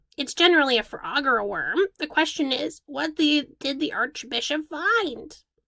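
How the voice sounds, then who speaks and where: A woman speaks in a put-on character voice, pitched high. She hardly pauses at all. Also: moderate pace. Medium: read story.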